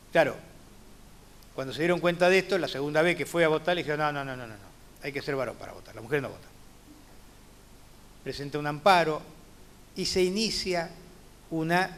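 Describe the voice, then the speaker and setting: At a moderate pace with long, frequent pauses, the voice shows ordinary pitch variation and big swings in loudness, with audible room echo. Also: man. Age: 60s. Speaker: judge. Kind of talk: lecture. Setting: conference talk.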